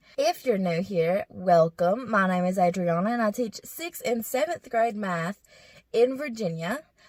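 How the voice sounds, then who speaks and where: Somewhat breathy and dry, close with no echo, a woman speaks fairly slowly at a medium pitch with lively intonation. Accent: Southern US. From Kentucky, US South. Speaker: middle school math teacher, vlogger. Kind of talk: casual vlog. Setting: in a car.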